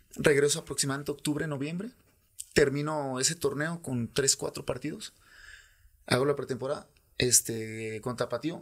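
Against a quiet background, a man with a fairly high voice talks at a moderate pace with ordinary pitch variation, leaving long, frequent pauses. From Guadalajara, Mexico. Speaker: former professional footballer; podcast guest. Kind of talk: casual interview; interview answer. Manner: halting, many repetitions. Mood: relaxed, reflective. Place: studio. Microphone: studio mic.

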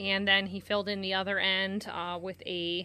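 A woman is speaking here. Her pace is very slow. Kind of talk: casual vlog chat. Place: farm machine. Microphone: phone near.

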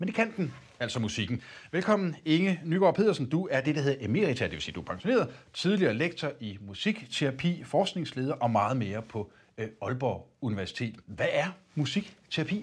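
A man speaks with a fairly high pitch and vocal fry. His pitch swings very widely, at a moderate pace. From Denmark. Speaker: TV interviewer. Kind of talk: interview conversation. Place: studio. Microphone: lapel.

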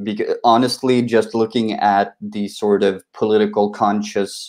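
Against a quiet background, a man with a Swedish accent speaks at a moderate pace. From Sweden. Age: 20s. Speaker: republican society representative; panelist. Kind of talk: live online panel debate. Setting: video call. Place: home room. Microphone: video call.

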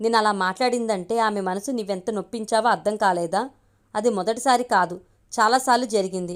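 Ordinary pitch variation marks the natural reading voice here.

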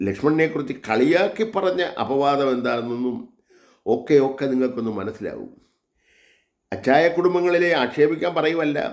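Lively intonation marks a man's fairly high-pitched voice. Audible room echo can be heard. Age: 70s. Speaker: religious vlogger. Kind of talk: monologue sermon.

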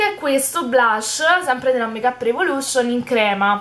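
Projecting her voice, a woman speaks at a moderate pace with a high pitch and lively intonation. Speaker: beauty YouTuber. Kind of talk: casual haul video talk. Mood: cheerful, enthusiastic. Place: home room. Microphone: phone near.

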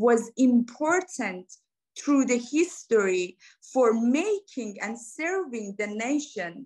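Speaking at a very slow pace, a woman with a Persian accent uses a high pitch and lively intonation against a quiet background. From Iran. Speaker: academic researcher; panelist. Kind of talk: academic presentation. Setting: video call. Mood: earnest, engaged. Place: home room. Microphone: video call.

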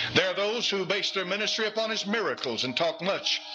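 A man speaks at a moderate pace while clear music plays in the background. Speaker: Baptist pastor, hellfire preacher. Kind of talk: fiery sermon to a congregation. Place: church. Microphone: podium.

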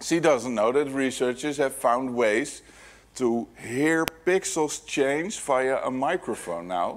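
His pitch varies in an ordinary way as the man talks fairly slowly. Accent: Dutch. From Netherlands. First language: Dutch. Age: 40s. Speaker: security hacker, keynote speaker; keynote speaker. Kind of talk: conference keynote talk. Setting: stage with audience. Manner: animated. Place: hall.

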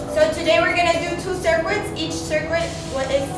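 Clear music plays behind a woman whose voice carries audible room echo. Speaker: fitness instructor. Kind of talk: workout instruction. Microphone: phone near.

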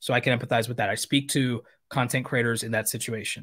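A man talks very fast at a medium pitch. The background is quiet. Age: 30s. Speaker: YouTube creator coach. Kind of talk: live stream Q&A. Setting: live stream studio. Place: home room.

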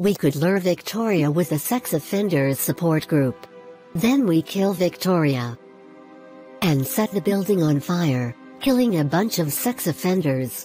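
Over clear music in the background, a put-on character voice at middle pitch moves at a moderate pace. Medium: actual play. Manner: snarky, playful.

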